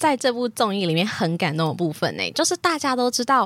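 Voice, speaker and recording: The woman talks at a fairly quick pace. Her pitch swings very widely. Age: 20s. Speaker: podcast host. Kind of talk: casual chat.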